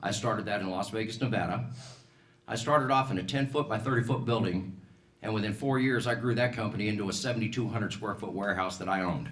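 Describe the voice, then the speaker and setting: A man with an American accent speaks at a very fast pace, at medium pitch with ordinary pitch variation. Audible room echo surrounds his voice. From Colorado, US. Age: 60s. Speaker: political candidate, business owner. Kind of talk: campaign speech at candidate forum.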